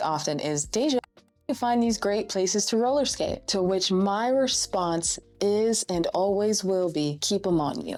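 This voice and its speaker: A woman talks with ordinary pitch variation while music plays behind her. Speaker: roller skating instructor and content creator. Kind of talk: casual talk to camera, tutorial. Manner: warm, chatty, expressive, humorous.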